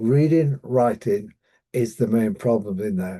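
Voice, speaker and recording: Against a quiet background, a man with a British accent speaks at medium pitch with ordinary pitch variation. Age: 70s. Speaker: dyslexia coach. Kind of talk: online training presentation. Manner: halting, many fillers and repetitions.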